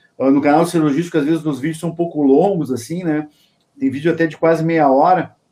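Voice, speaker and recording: Dark, mellow tone at a fairly quick pace, with a southern Brazilian accent. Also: man, fairly high pitch for a man. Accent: gaúcho accent, noticeable. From Rio Grande do Sul, Brazil. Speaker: logistics consultant and YouTuber. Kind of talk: interview.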